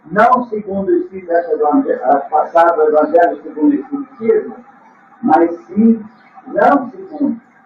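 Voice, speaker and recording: Noticeable background noise sits behind a man's voice. His pitch is high and swings very widely. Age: 70s. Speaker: spiritual teacher. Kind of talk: religious talk.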